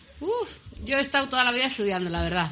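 A woman speaks with very wide swings in pitch. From Navarre, Basque Country (Spain). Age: 40s. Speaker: improvised verse singer and teacher. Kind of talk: radio interview.

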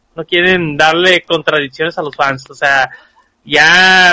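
The pace is fairly slow, with ordinary pitch variation. Sound is dry and close, without echo. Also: man. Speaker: podcast co-host. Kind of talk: casual chat.

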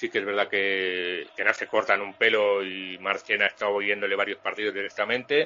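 At a moderate pace and with hardly any pauses, a man speaks in a fairly low pitch with monotone, flat intonation. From Spain, Valladolid. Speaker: sports journalist. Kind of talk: interview.

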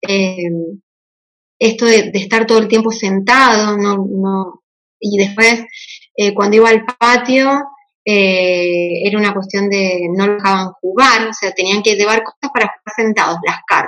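In an unremarkable speaking voice, a woman talks at medium pitch and a fairly slow pace with fairly even intonation. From Argentina, Mendoza. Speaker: homeschooling mother. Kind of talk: casual chat.

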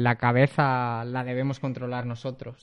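Against a quiet background, a man speaks. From Spain, Zamora (Castile and León). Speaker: math teacher. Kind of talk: interview.

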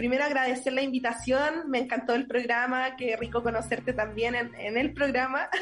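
A woman with a high pitch speaks at a moderate pace in a flat monotone, keeping her loudness very even and hardly pausing, over noticeable background noise. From Chile, Linares (Maule). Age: 20s. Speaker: primary school teacher and constituent candidate. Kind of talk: interview.

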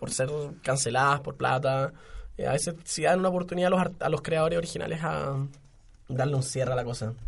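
Fairly quick, somewhat breathy speech from a man, fairly high-pitched, with ordinary variation in pitch. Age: 20s. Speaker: podcast co-host. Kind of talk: casual chat.

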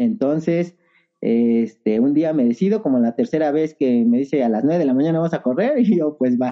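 A man with a plain, everyday voice speaks at a moderate pace and fairly high pitch. His intonation is lively, and his loudness stays very even. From Mexico City area (Estado de México, Ajusco). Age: 30s. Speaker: trail runner. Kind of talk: casual interview chat.

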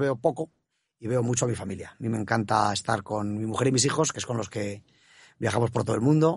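With ordinary pitch variation, a man talks very fast over a quiet background. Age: 50s. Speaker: bank executive. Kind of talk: interview. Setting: studio.

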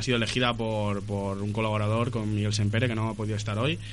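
A man's voice with audible room echo. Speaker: radio host. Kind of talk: casual radio chat. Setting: studio. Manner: halting.

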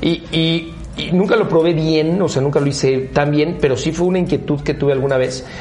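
A man with a fairly high pitch speaks at a very even loudness and fairly even intonation, with audible room echo and noticeable background noise. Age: 40s. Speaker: car brand executive. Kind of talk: interview. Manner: hesitant, many fillers.

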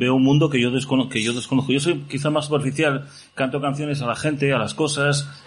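Talking at a fairly quick pace and a medium pitch, a man is heard with audible room echo. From Asturias, Gijón. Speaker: pop musician. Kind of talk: casual chat. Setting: stage with audience.

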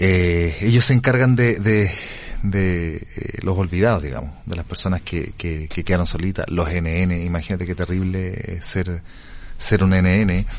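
A man's very deep, low voice at a fairly slow pace, ordinary pitch variation, noticeable background noise. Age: 40s. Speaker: radio host. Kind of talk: radio interview.

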